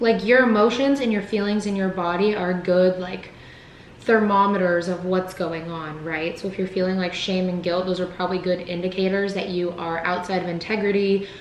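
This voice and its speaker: A woman at medium pitch and moderate pace, fairly even in intonation, amid audible room echo and noticeable background noise. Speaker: wellness vlogger. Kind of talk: vlog. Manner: casual.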